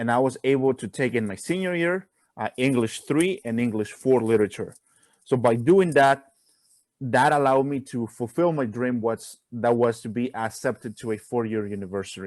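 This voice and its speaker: Here a man with a Spanish accent talks at a moderate pace and medium pitch. His pitch varies in an ordinary way, and the sound is dry and close with no echo. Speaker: college student. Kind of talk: casual chat.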